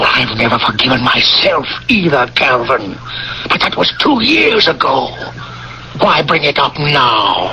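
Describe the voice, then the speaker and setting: Putting on a character voice, a man speaks at a fairly slow pace with long, frequent pauses and very even loudness. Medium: old radio play. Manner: placating, defensive.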